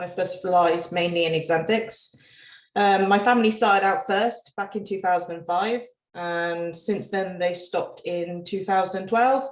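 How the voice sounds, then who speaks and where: At a moderate pace, a woman with a British accent speaks in a medium pitch with fairly even intonation. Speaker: reptile breeder. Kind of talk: casual chat.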